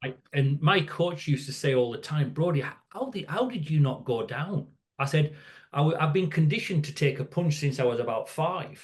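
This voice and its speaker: A somewhat breathy man's voice in a northern English accent. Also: fairly high pitch for a man, ordinary pitch variation, moderate pace. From northern England, near Scottish border. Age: 60s. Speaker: safety educator. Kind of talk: podcast interview. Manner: halting, repeats words.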